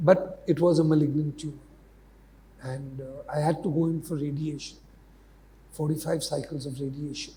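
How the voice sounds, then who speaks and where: A man speaks at a moderate pace in a fairly high, dark, mellow, somewhat breathy voice with monotone, flat intonation. His loudness swings widely, and long, frequent pauses break up his speech. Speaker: media mentor and educator. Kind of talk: interview. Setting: university campus podcast.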